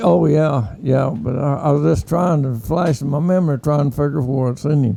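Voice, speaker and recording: A man talks with an Oklahoma accent. His pitch is fairly high, with ordinary variation. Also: moderate pace. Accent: Oklahoma, Southern US. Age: 80s+. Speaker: war veteran. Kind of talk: interview answer.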